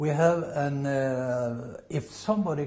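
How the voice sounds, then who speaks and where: This man speaks with a Norwegian accent. His pitch is medium, with ordinary variation. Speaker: Norwegian club representative. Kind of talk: interview. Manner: halting.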